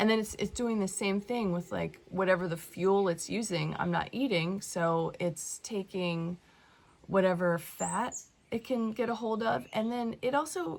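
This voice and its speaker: Through noticeable background noise, a woman speaks fairly slowly at a medium pitch, with lively intonation. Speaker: spiritual teacher vlogger. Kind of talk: casual vlog monologue. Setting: wellness center retreat.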